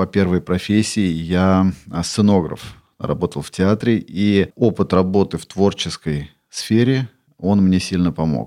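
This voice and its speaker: Speaking fairly slowly at a very deep, low pitch with ordinary pitch variation, a man is heard in a very clean recording against a silent background. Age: 50s. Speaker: business owner. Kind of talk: personal story.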